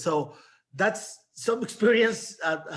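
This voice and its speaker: A man speaks in a Mexican accent. His pitch varies in an ordinary way. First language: Spanish. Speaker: novelist. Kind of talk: panel discussion. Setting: video call. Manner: halting.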